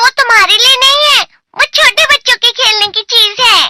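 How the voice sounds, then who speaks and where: A squeaky, cartoonish character voice at an extremely high pitch moves along at a moderate pace. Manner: fussy, lecturing.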